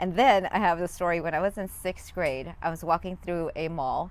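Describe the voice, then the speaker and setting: This woman speaks with a fairly low pitch. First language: not English. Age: 40s. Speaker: life coach and former hairdresser. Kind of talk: interview. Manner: animated.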